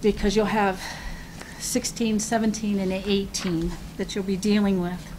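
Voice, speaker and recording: Medium pitch from a woman, monotone and flat, at a fairly slow pace, with noticeable background noise and audible room echo. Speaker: city assessor. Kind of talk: public meeting remarks. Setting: city commission meeting. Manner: halting.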